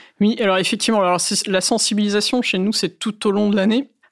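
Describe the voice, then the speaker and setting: A woman with an ordinary speaking voice talks at a medium pitch with fairly even intonation in a very clean recording with a silent background. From northern France, Valenciennes. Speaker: cloud security officer. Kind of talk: interview.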